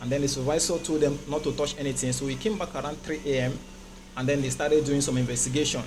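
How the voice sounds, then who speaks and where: Music plays in the background as a man talks at a very fast pace, his fairly high pitch held in fairly even intonation amid audible room echo. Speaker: safety engineer presenter. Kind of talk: technical presentation. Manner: hesitant, many fillers.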